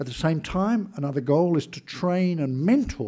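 A dark, mellow tone carries an Australian accent at a fairly slow pace. The pitch swings very widely over a quiet background. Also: man. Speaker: former intelligence chief; conference speaker. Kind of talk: speech. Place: hall. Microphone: podium.

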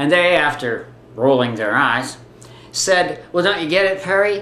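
Room echo is audible around the voice. The man speaks at a moderate pace. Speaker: video blogger. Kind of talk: political opinion vlog. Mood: indignant, wry humor. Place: home room. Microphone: webcam.

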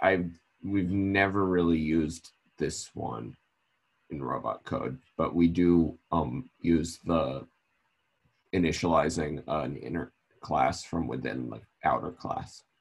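Speaking fairly slowly, a man with a very deep, low pitch shows vocal fry and ordinary pitch variation. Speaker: student. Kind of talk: tutorial.

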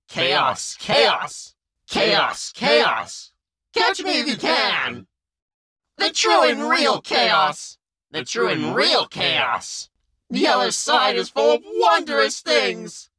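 A raspy, put-on character voice drags along at a very slow pace. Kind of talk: character voice test. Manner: manic, playful.

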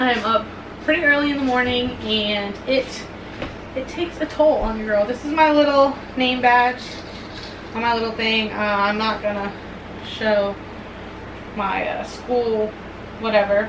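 Noticeable background noise sits behind a woman speaking at a fairly slow pace. Her intonation is fairly even, with long, frequent pauses. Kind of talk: casual vlog chat. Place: home room. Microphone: camera far.

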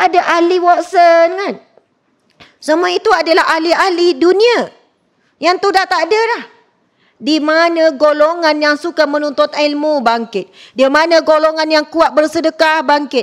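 Loud and animated, a woman speaks at a fairly slow pace in an extremely high voice with ordinary pitch variation. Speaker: religious teacher. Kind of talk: sermon. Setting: mosque lecture with live audience. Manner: loud, high-pitched.

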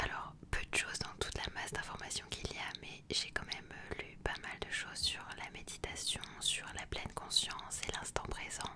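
A woman's calm whisper at a moderate pace, with hardly any pauses. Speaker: ASMR and meditation content creator reading aloud. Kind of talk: casual talk to camera, book presentation. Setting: outdoors, wind audible. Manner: soft, calm, conversational. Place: home room. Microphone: studio mic.

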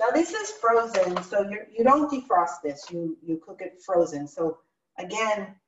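The room echo is audible around a woman speaking. Light background noise is present. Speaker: cooking class host. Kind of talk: tutorial. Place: kitchen. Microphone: video call.

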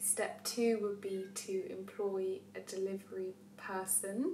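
Light background noise and audible room echo accompany a woman's speech. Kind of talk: casual vlog chat, Q&A answers. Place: kitchen. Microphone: camera far.

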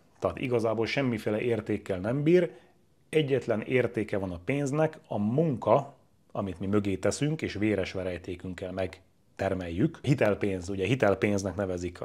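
A man's fairly low voice with lively intonation. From Hungary. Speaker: real estate agent. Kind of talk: tutorial. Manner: casual. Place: home room. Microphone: lapel.

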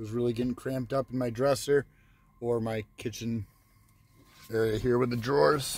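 A man's voice, somewhat breathy. The sound is dry, with no echo. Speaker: van life vlogger. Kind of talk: casual vlog chat. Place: car. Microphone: phone near.

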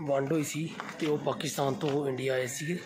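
A man's fairly high-pitched voice with fairly even intonation over noticeable background noise. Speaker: vlogger. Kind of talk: casual talk to camera. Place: street. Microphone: phone near.

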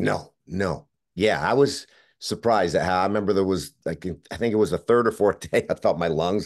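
A man speaks in an ordinary speaking voice at a moderate pace over a quiet background. His pitch sits fairly low, with ordinary variation. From Canada, Montreal. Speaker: actor and former football player. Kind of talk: interview.

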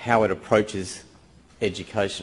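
A man talks at a moderate pace with fairly even intonation and fairly low pitch in a normal speaking voice. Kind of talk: conference presentation. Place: hall. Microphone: podium.

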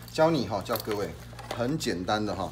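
A man talks at a fairly quick pace, and light background noise runs underneath. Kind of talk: product demo tutorial. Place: shop.

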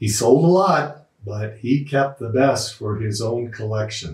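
Very slow, somewhat breathy speech against a quiet background, with audible room echo. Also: man. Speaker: host introducing an interview. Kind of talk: spoken introduction to camera. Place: home room.

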